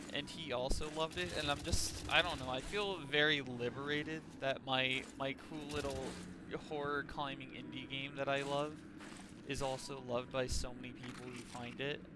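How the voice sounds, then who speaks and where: A man with an American accent has an animated tone, fairly high pitch, and a moderate pace. Audible room echo and noticeable background noise surround him. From Texas. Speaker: gaming streamer. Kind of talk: casual gameplay commentary. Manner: loud.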